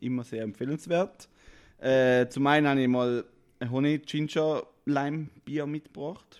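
A man's fairly high voice with a slight St. Gallen accent, fairly even intonation, and a fairly slow pace on a very clean recording with a silent background. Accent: St. Gallen Swiss German dialect, slight. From eastern Switzerland, St. Gallen. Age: 30s. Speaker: co-founder of an artist support platform. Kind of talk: podcast interview.

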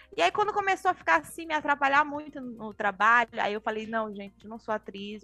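A woman speaks fairly quickly amid noticeable background noise. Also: dry, close sound with no echo. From Pará, northern Brazil. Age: young. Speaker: journalist and film director. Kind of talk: casual interview.

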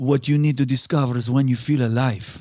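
An ordinary speaking voice from an American man, fairly even intonation at a moderate pace over a quiet background. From US Northeast, Connecticut. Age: 50s. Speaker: HR executive and keynote speaker. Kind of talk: interview conversation.

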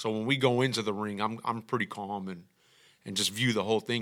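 Talking at a very fast clip, a man with a Texan accent has a fairly low pitch and a bright, sharp tone on a very clean recording with a silent background. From Texas, Houston east side. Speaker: music producer. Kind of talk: casual chat.

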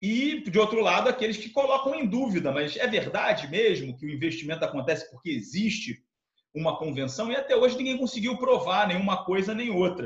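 This man talks at a fairly quick pace. His high voice makes very wide pitch swings. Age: 40s. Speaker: tax law professor and lawyer. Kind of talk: interview. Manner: halting, many fillers and repetitions.

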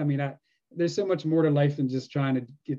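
At a very fast pace, a man with an American accent speaks in a fairly high pitch, his tone dark and mellow and his intonation fairly even. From US, Pennsylvania (York). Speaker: metal detecting YouTuber. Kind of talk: casual chat.

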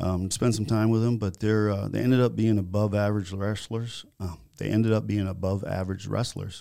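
A man's dark, mellow voice with an American accent and fairly even intonation, on a very clean recording with a silent background. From Florida (Naples), early years northern Minnesota. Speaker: building contractor. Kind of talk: podcast interview. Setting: studio.

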